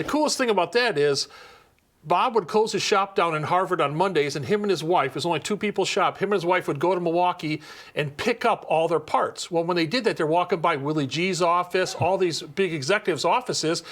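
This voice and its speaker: He speaks at a fairly quick pace in a high pitch with ordinary pitch variation. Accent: Upper Midwest. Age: 60s. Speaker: custom motorcycle seat builder. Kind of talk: casual interview in his shop. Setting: motorcycle shop.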